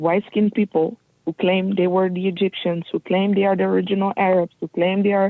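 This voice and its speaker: A woman with a non-native accent speaks with monotone, flat intonation. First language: not English. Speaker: guest speaker on race and history. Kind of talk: interview. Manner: halting.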